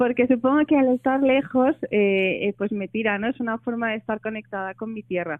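A woman with an ordinary speaking voice talks at a moderate pace and a fairly high pitch. Her pitch variation is ordinary, and she leaves hardly any pauses. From Asturias, Spain (Oviedo). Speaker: novelist. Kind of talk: radio interview.

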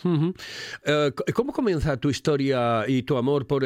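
A man's plain, everyday voice, fairly high in pitch, with lively intonation. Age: 60s. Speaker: radio host. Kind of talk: casual chat.

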